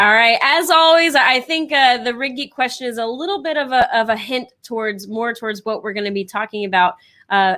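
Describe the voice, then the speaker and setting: A woman at a fairly quick pace, fairly high in pitch, with lively intonation. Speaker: co-host of company live show. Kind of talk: live show segment hosting. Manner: fast.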